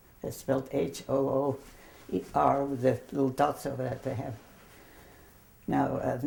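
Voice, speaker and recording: Speaking at a fairly quick pace, a woman with a German accent has a very deep, low pitch and monotone, flat intonation. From Germany. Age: 70s. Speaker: grandmother telling her life story. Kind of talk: interview, personal memories. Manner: hesitant, many fillers.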